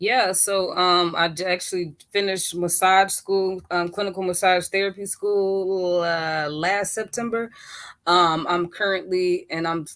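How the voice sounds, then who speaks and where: This is a very clean recording with a silent background. A woman speaks at a moderate pace with an American accent. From Chicago, US Midwest. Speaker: massage therapist. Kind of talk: casual chat. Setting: live stream. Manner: halting, many fillers.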